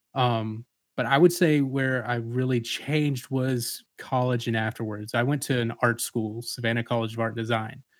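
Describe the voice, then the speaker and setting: Speaking in an ordinary speaking voice, a man with an American accent keeps a moderate pace, a medium pitch and fairly even intonation, with hardly any pauses. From US South, Atlanta, Georgia. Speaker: father, church member. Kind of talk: casual discussion.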